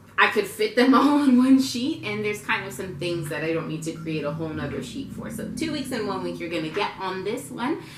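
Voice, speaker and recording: A medium-pitched woman talks at a fairly quick clip with very wide pitch swings and hardly any pauses. Noticeable background noise and audible room echo fill the recording. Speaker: lifestyle vlogger, military spouse. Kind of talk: casual tutorial vlog. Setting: at home, rocking her baby. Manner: loud; casual, chatty.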